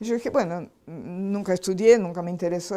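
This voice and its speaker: A woman's dark, mellow tone in a Portuguese accent, with ordinary pitch variation at a moderate pace. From Brazil. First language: Portuguese (speaking Spanish). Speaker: spiritual healing lecturer. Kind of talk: lecture.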